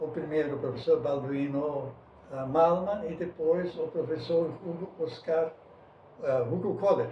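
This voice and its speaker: A man's fairly high voice at a fairly slow pace, with fairly even intonation and noticeable background noise. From southern Brazil, German-speaking rural community, Rio Grande do Sul. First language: Plattdeutsch (Low German) (speaking Portuguese). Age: 70s. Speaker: veteran sports journalist. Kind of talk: interview.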